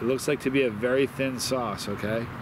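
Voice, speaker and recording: Noticeable background noise surrounds a dry sound with no echo. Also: man. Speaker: hot sauce reviewer. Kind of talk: casual review vlog chat. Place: garden.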